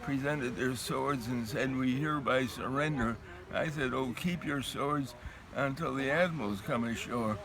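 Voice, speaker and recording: There is audible room echo and noticeable background noise as a man of medium pitch speaks at a moderate pace with fairly even intonation. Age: 90s. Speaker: war veteran. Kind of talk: interview. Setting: outdoors.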